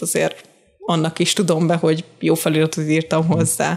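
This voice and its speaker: A woman with a fairly low pitch talks at a fairly quick pace in an unremarkable speaking voice. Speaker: subtitle translator. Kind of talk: casual interview.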